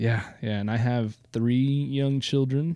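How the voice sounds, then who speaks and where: Speaking with a Midwestern American accent, a man uses a dark, mellow tone at a fairly slow pace with ordinary pitch variation. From eastern Iowa. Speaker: podcast co-host. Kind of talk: casual chat. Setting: home basement.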